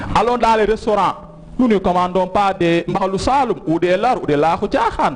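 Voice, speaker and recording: Noticeable background noise sits behind this recording. A man with a Senegalese accent speaks in a high pitch. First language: Wolof (speaking French). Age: young. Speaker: TV talk show guest. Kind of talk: educational TV interview.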